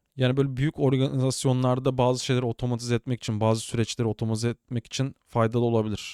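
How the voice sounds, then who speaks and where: A man talks at a very fast pace with hardly any pauses and very even loudness, his medium-pitched voice dark and mellow. His intonation is monotone and flat, and the sound is dry and close with no echo. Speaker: tech podcast host, cybersecurity. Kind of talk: casual solo tech news commentary. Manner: chatty, informal.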